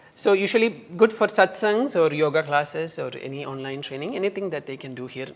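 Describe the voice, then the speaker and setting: With a Keralan accent, a man speaks fairly quickly at a fairly high pitch, his pitch swinging very widely over noticeable background noise. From India, Kerala. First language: Malayalam. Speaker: spiritual retreat owner and yoga teacher. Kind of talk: casual interview.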